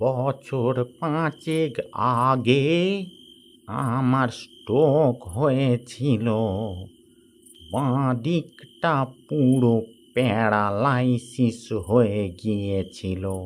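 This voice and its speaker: Using a cartoonish character voice, a man speaks at a very slow pace. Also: medium pitch for a man. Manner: halting, stammering.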